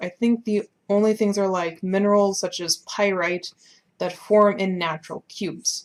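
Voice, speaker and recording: A woman's normal speaking voice, medium in pitch, at a moderate pace with fairly even intonation. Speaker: art tutorial creator. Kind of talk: tutorial. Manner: casual.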